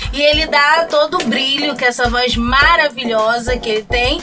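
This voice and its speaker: Over clear background music, a woman raises and projects her high voice with lively intonation. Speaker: producer. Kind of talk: casual talk to camera. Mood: warm, enthusiastic. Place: studio.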